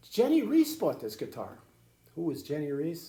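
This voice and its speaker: A man speaks at a fairly high pitch, his voice swinging very widely up and down, with audible echo from the room. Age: 80s+. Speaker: grandfather storyteller. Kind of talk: casual storytelling to children. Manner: halting, repetitive.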